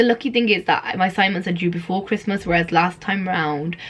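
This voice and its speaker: Talking at a very fast pace, a woman has a medium pitch and a somewhat breathy sound. Her intonation stays fairly even. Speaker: student vlogger. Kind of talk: casual vlog to camera.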